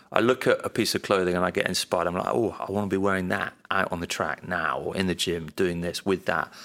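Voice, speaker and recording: Barely pausing, a man rushes along at a very fast pace in a very deep, low pitch. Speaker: clothing brand founder. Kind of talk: casual interview chat.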